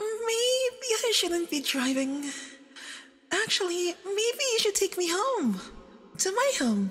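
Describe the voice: In a put-on character voice, a woman speaks slowly at an extremely high pitch, with big pitch swings and a fairly bright tone.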